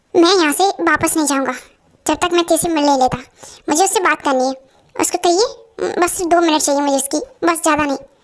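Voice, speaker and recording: This woman uses a put-on character voice at an extremely high pitch. She talks at a fairly quick pace with ordinary pitch variation. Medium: fan dub. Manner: firm, lecturing.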